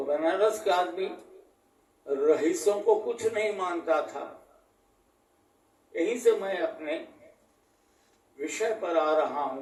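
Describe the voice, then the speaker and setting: A man speaks with a high voice and lively intonation. He leaves long, frequent pauses. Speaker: local history expert. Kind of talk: interview answer.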